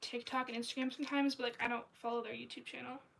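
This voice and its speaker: A woman at a high pitch, talking very fast over noticeable background noise. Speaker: artist livestreamer. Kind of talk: casual livestream chat while drawing. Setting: livestream. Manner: casual, many fillers.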